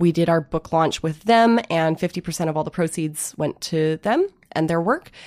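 In an American accent, a woman with a fairly low pitch and an unremarkable speaking voice talks at a moderate pace with ordinary pitch variation, in a dry, close sound with no echo on a very clean recording with a silent background. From Illinois and Vancouver, Canada. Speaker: comics publisher. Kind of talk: interview. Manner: casual, lots of 'like'.

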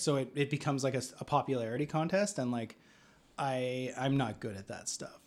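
A man with a Canadian accent speaks at a fairly quick pace in a fairly high pitch, a normal speaking voice with ordinary pitch variation. The recording is very clean, with a silent background. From rural Alberta, Canada. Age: 30s. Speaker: screenwriter. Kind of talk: casual chat.

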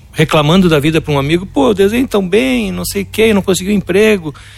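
A high-pitched man's voice, very fast, with lively intonation. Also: hardly any pauses. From Brazil, Porto Alegre. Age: 50s. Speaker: illustrator and artist. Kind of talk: interview.

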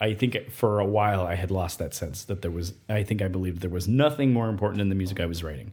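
A man with an American accent, somewhat breathy, at a fairly low pitch with ordinary pitch variation, very fast and with hardly any pauses. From Nevada, US. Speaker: composer. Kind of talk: interview.

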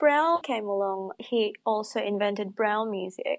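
Her voice high, a woman speaks with very wide pitch swings over a quiet background. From Indonesia. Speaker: braille music transcriber and singer. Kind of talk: interview.

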